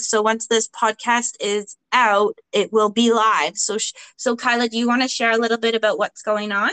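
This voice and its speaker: A woman talks at a moderate pace with a fairly high pitch and hardly any pauses. Her intonation is monotone and flat, and the sound is dry and close with no echo. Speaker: podcast host. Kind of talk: casual interview chat.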